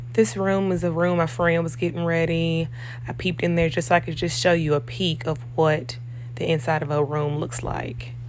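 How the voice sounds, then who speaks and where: A woman with a very deep, low pitch speaks at a moderate pace with ordinary pitch variation, amid audible room echo and noticeable background noise. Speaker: operating room nurse. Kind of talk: vlog walkthrough tour. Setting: hospital operating suite.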